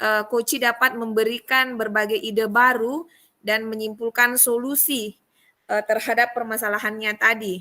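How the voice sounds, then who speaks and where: A woman with a strong Buginese accent speaks at a moderate pace in a fairly high, bright, sharp tone. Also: fairly even intonation. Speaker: teacher in coaching training. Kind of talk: reflection report in training session. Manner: hesitant with fillers.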